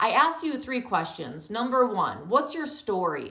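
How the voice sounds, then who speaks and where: Loud and animated, the voice makes very wide pitch swings amid noticeable background noise and audible room echo. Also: woman. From rural countryside. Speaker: yoga teacher. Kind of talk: online training talk.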